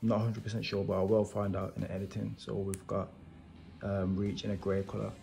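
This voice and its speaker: Faint music plays in the background as a man speaks with a fairly low pitch. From Wolverhampton, England. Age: 20s. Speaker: toy reviewer YouTuber. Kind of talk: casual unboxing talk to camera. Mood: enthusiastic. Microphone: phone near.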